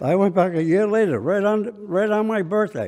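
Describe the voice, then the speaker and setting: A man's dark, mellow tone at a moderate pace. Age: 80s+. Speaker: war veteran. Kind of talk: courtroom testimony. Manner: plain, direct.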